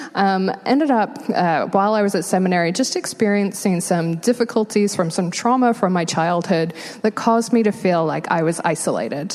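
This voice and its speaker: A woman with an American accent speaks with hardly any pauses and very even loudness. Noticeable background noise runs behind her. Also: medium pitch for a woman, ordinary pitch variation, moderate pace. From England. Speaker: homelessness nonprofit worker. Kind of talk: interview testimony in church.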